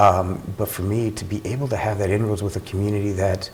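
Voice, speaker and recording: With a Spanish accent, a man speaks at a fairly low pitch in monotone, flat intonation over noticeable background noise. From Latin household, Cuban family (US). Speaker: police officer. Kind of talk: news interview.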